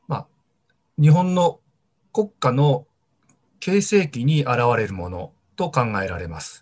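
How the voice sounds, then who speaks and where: At a very slow pace with long, frequent pauses, a man speaks in a somewhat breathy, fairly high-pitched voice. His pitch swings very widely and his loudness shifts in big swings, over a quiet background. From Tohoku, Japan (Sendai, Miyagi); Tohoku, Japan. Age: 50s. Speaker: archaeology professor. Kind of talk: interview. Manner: measured, with frequent fillers. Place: home room. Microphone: video call.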